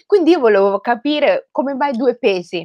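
At a moderate pace, a woman talks in a plain, everyday voice against a quiet background. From Rome, Italy (Somali heritage). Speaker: writer. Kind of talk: talk to school students. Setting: video call. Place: home room. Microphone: headset.

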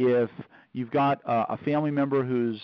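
A man talks at a fairly quick pace. The sound is dry with no echo, over a quiet background. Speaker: call host. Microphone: phone line.

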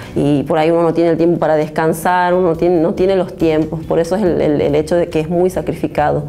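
A woman speaks very fast with hardly any pauses and very even loudness. Her fairly low pitch stays monotone and flat. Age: 30s. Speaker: taekwondo athlete. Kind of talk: interview. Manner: halting. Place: studio. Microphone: lapel.

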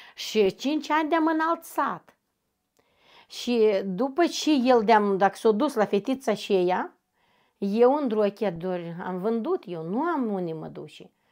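A woman's fairly high voice at a very slow pace, with very wide pitch swings and big swings in loudness. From northern Moldova, Drochia district. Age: 40s. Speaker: interviewee, domestic violence survivor. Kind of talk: personal testimony interview. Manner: halting.

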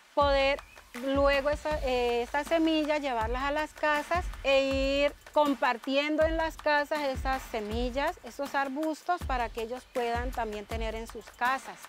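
Over faint background music, a woman speaks at a fairly slow pace and a high pitch with ordinary variation, the sound dry with no echo. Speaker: school teacher. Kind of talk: interview answer. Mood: grateful, warm. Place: garden. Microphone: lapel.

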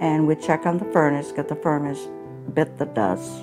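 Clear music plays in the background as a woman speaks at a moderate pace with a very deep, low pitch. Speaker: homeowner, charity fund recipient. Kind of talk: interview answer. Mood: warm, grateful. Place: kitchen. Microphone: lapel.

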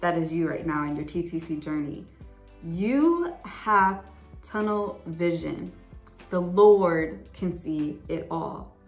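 Faint music plays in the background as a woman with a fairly low pitch speaks. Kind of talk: bible study talk to viewers. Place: home room. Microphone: phone near.

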